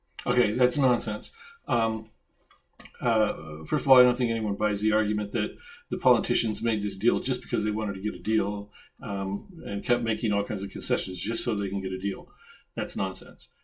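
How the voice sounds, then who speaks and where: A man talks at a fairly quick pace. His pitch is fairly low, with ordinary variation. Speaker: political commentary video creator. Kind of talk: commentary on video clips. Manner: fast; halting, many fillers.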